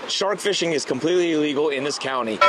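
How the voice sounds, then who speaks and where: A man's voice comes through dry and echo-free against loud background noise. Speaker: travel vlogger. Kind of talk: casual vlog chat. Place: waterside. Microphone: handheld.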